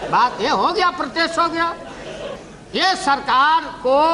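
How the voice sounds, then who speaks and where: A man's raised, projected voice. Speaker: politician giving a parliamentary speech. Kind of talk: parliamentary speech, witty and humorous. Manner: witty, teasing, jocular.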